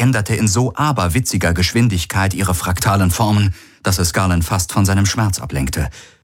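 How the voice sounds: Reading in a natural voice, the speaker lets the pitch vary in an ordinary way.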